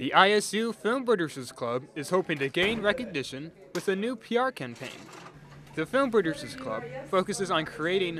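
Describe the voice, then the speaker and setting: A man's high-pitched voice with very wide pitch swings, at a moderate pace amid noticeable background noise. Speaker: student TV reporter and anchor. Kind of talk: TV news report.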